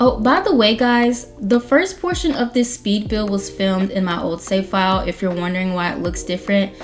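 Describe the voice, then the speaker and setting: Hardly any pauses, with music in the background. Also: woman, medium pitch for a woman, ordinary pitch variation, moderate pace. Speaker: Sims game YouTuber. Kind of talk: voiceover commentary over speed build. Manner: stutters and trips over words; casual, chatty.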